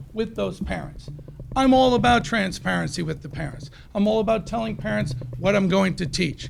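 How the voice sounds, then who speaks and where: A man speaks at a moderate pace. There is noticeable background noise and audible room echo. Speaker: teacher speaking at public comment. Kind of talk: public comment speech. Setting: school board meeting. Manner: loud.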